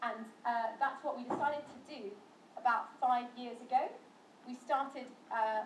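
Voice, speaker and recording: A woman's high-pitched voice at a moderate pace, with long, frequent pauses, big swings in loudness, audible room echo and noticeable background noise. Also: fairly even intonation. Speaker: interfaith educator. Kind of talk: talk to students.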